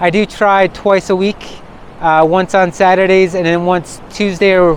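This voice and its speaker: Amid noticeable background noise, a man speaks at a high pitch and fairly slow pace with monotone, flat intonation. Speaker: walking vlogger. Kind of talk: vlog narration. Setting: outdoors on a mountain hike. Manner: loud, yelling over wind.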